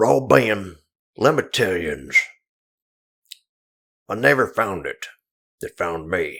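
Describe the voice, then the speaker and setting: In a put-on character voice, a man mumbles in a raspy, fairly low register with very wide pitch swings and big swings in loudness. He goes at a fairly slow pace, with long, frequent pauses. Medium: machinima. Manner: rambling, mumbling, hard to understand.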